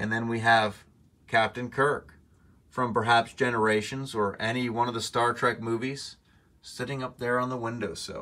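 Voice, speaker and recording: A man's bright, sharp tone at a moderate pace, with monotone, flat intonation. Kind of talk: casual vlog chat. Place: home room. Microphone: phone near.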